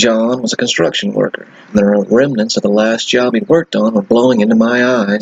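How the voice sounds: Here the reading voice sounds natural.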